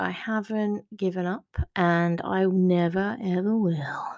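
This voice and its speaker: In a warm tone, a woman with a medium pitch speaks at a very slow pace with ordinary pitch variation. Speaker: author podcaster. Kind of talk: solo podcast update chat. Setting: home recording. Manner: chatty, casual, warm.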